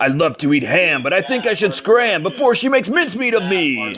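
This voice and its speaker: Using a put-on character voice, a man speaks at a fairly quick pace and a high pitch. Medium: read story.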